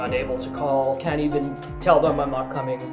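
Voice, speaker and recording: A man speaking at a moderate pace amid noticeable background noise. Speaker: vlogger. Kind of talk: casual talk to camera. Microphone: webcam.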